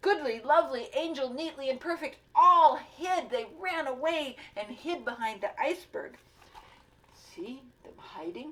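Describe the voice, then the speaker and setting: At a fairly slow pace, a woman speaks in a high pitch, her voice swinging very widely in pitch and greatly in loudness. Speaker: grandmother reading children's books with a puppet. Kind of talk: children's picture book read-aloud.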